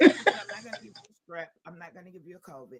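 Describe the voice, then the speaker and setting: A man speaks at a very fast pace in a high voice. His pitch varies in an ordinary way. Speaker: podcast host. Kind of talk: casual chat.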